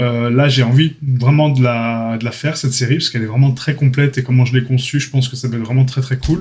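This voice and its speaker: A man's very fast, somewhat breathy, monotone delivery with flat intonation and hardly any pauses. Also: medium pitch for a man. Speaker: 3D art trainer, YouTuber. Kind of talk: casual channel update talk. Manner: hesitant, many fillers.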